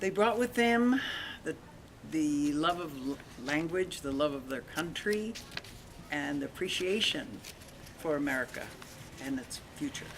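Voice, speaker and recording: A woman speaks at a very deep, low pitch with very wide pitch swings, at a fairly slow pace with long, frequent pauses. Noticeable background noise runs underneath. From Long Beach, California. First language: Spanish. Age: 80s+. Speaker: grandmother interviewed by grandson. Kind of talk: family interview.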